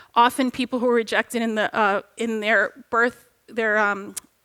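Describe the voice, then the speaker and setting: A woman's bright, sharp tone at a high pitch and a moderate pace. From Egypt. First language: Arabic. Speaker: religious educator. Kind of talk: panel discussion.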